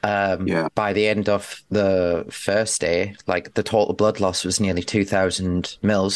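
A man's fairly low voice, monotone and flat, at a fairly slow pace. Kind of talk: casual chat.

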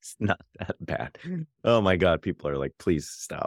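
A man's normal speaking voice, fairly low in pitch and at a moderate pace, dry and close with no echo on a very clean recording with a silent background. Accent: American. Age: 40s. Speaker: podcast host, teacher. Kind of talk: casual chat about news and politics.

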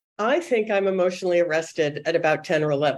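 A woman speaks at a moderate pace in a plain, everyday voice. Her pitch is fairly low. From suburban Boston. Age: 60s. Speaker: children's book editor. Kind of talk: interview.

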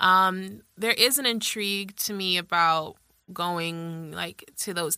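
Here a woman speaks with an American accent in a bright, sharp tone. Her pitch varies in an ordinary way on a very clean recording with a silent background. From Washington, D.C. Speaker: fashion blogger. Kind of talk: casual interview.

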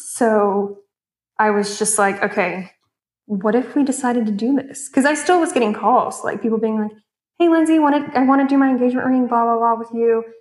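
A woman speaks in a normal speaking voice. Her pitch is fairly high with ordinary variation. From Texas, Houston. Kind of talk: interview.

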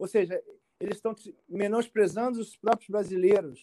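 A man talks at a high pitch in an animated tone. The sound is dry and close, with no echo. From Brazil, Rio de Janeiro (Tijuca). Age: 40s. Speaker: immigration lawyer. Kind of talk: casual interview.

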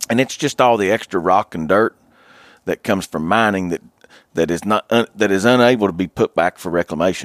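In a very clean recording with a silent background and a dry, close sound with no echo, a man with an Appalachian accent talks fairly quickly at a fairly low pitch. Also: ordinary pitch variation. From West Virginia. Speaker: hunter. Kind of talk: casual chat.

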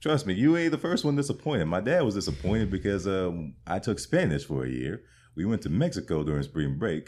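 A man with an American accent talks at a fairly quick pace in a very deep, low pitch with vocal fry and very wide pitch swings. The recording is very clean, with a silent background. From Colorado. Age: 20s. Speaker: stand-up comedian. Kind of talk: interview.

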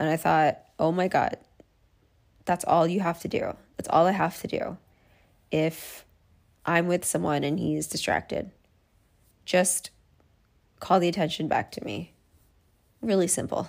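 A woman speaks at a fairly slow pace. Her speech has long, frequent pauses. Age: 30s. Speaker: solo podcast host. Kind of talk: personal monologue.

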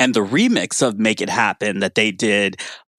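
A man with a fairly low pitch speaks at a moderate pace with fairly even intonation in an ordinary speaking voice, on a very clean recording with a silent background. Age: 50s. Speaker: music writer. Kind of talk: casual chat.

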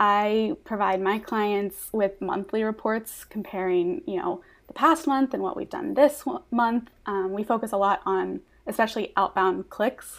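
On a very clean recording with a silent background, a woman uses a normal speaking voice at a fairly high pitch and a fairly slow pace, with ordinary pitch variation. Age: 20s. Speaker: Pinterest marketing consultant. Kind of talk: podcast interview.

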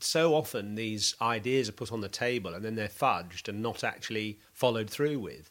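An ordinary speaking voice from a man at medium pitch, moderate pace, ordinary pitch variation and hardly any pauses. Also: very clean recording, silent background. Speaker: cricket podcast host and former pro cricketer. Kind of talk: casual analytical chat.

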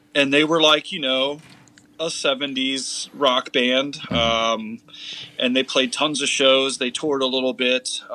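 A man speaks at a fairly slow pace in a medium pitch. He has a plain, everyday voice. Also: fairly even intonation. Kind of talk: casual chat.

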